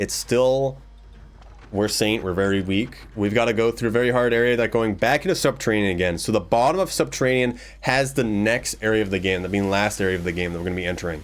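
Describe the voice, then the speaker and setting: A man with a fairly low pitch talks very fast. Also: ordinary pitch variation. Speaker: gaming streamer. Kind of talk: live gameplay commentary.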